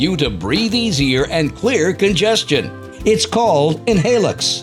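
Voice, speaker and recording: With music playing behind him, a man speaks at a moderate pace in a fairly high pitch that makes very wide swings. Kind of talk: infomercial voice-over narration.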